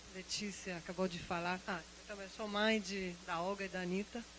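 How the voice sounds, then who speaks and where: A woman speaks at a moderate pace and medium pitch over noticeable background noise. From outside Brazil. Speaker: university biology lecturer, audience member. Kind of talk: audience comment at a symposium. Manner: halting, many repetitions.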